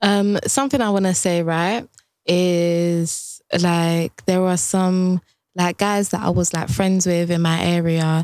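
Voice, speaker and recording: Over a silent background in a very clean recording, a woman speaks very slowly with a London accent and a fairly low pitch. Her loudness stays very even, and her pitch varies in an ordinary way. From Ghanaian heritage, raised in UK. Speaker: podcast co-host. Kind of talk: casual chat.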